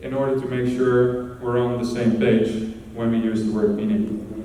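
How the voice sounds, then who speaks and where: A man with a Dutch accent speaks at a moderate pace in a monotone, flat intonation. Audible room echo and noticeable background noise fill the recording. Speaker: conference speaker. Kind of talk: conference talk.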